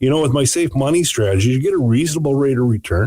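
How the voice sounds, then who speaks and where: A man speaks with lively intonation and a somewhat breathy sound. The recording is dry and close, with no echo. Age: 60s. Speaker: financial radio show host. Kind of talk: casual radio chat about finance.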